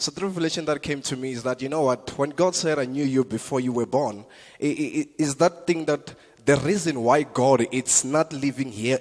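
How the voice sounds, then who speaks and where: A man with a South African accent at a moderate pace. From South Africa, Limpopo. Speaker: comedian. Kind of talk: stand-up. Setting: church stage with audience.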